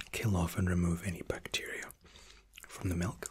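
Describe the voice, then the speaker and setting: The voice is a man's whisper. It keeps a moderate pace. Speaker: waiter role-play host. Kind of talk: soft role-play explanation to viewer.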